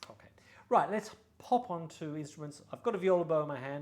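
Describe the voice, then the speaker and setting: A man's fairly high voice with an Australian accent and lively intonation. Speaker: violin and bow dealer. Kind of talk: product showcase. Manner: casual, hesitant with fillers.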